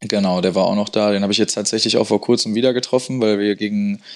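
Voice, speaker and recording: Very fast and fairly low-pitched, a man speaks on a very clean recording with a silent background. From Dortmund area, Ruhr, western Germany. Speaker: footballer and entrepreneur. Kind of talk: interview.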